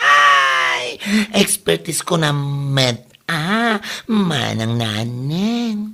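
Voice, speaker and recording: This put-on character voice moves at a very slow pace with a low-to-middle pitch. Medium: short film. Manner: lively, chatty.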